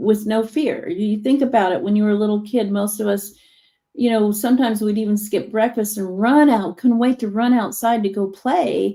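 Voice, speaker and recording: A woman's somewhat breathy voice has a dark, mellow tone at a fairly high pitch. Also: ordinary pitch variation, moderate pace. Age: 60s. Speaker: hypnotherapist. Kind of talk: casual chat. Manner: animated.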